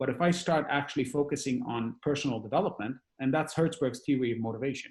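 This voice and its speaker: Very fast, somewhat breathy speech with ordinary pitch variation. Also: man. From Montreal, Quebec. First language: French. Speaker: startup founder. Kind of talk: podcast interview. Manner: animated, many fillers and restarts.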